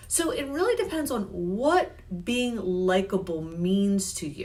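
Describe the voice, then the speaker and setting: A woman speaks loudly with a fairly high pitch, an animated tone and very wide pitch swings. Audible room echo and noticeable background noise surround her voice. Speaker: health and life coach. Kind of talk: live stream coaching talk. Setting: Facebook live stream.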